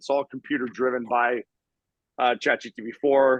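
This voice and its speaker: A man talks with an energetic, enthusiastic tone. His pitch sits fairly high. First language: not English (English is his third language). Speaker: marketing video business owner, guest speaker. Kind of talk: online mastermind presentation with Q&A. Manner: fast, with false starts.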